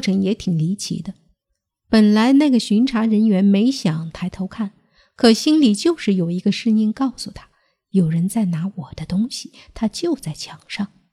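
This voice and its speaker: In a very clean recording with a silent background, a woman of medium pitch speaks at a fairly slow pace, somewhat breathy, with lively intonation. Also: dry, close sound with no echo. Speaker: podcast host telling strange tales. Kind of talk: ghost story narration, scripted storytelling.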